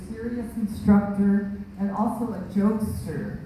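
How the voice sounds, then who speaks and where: Amid noticeable background noise and audible room echo, a woman with an American accent speaks at a very slow pace and medium pitch in a monotone, flat intonation. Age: 80s+. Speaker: speaker at a ceremony. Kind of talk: ceremony speech. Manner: hesitant, with frequent fillers.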